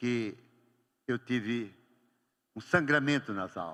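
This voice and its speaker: The tone is bright and sharp, and animated too. Vocal fry creeps into the voice. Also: man. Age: 70s. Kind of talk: homily. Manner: animated storytelling.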